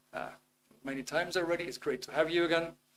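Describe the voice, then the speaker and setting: A man with a Dutch accent speaks at a high pitch. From Netherlands. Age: 50s. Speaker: webinar presenter on self-improvement. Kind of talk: live webinar talk. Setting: live online video stream. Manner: hesitant, with many fillers.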